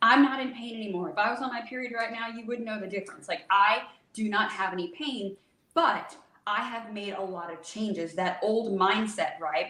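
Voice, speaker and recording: Amid audible room echo, a woman with a fairly high pitch speaks in an animated tone, with ordinary pitch variation and big swings in loudness. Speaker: holistic hormone health specialist. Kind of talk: podcast interview. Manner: fast.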